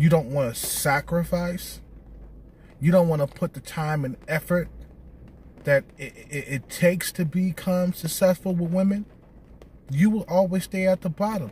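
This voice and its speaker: A man's high-pitched voice at a moderate pace, dry with no echo, with long, frequent pauses, ordinary pitch variation and big swings in loudness. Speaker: video blogger giving dating advice to men. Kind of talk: angry rant, scolding lecture aimed at viewers. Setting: solo video. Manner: blunt, confrontational, hammering repeated points; loud, aggressive, contemptuous and profane. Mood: lecturing, scolding. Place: car. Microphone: phone near.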